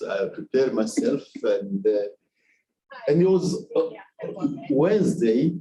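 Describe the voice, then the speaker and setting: A man with a Nigerian accent. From DR Congo. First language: French. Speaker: research institute director. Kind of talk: personal life story talk. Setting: media event with audience. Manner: halting, many fillers.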